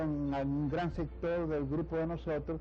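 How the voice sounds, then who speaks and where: A man is speaking. Room echo can be heard. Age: 90s. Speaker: poet and lawyer. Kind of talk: TV interview. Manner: halting, many fillers.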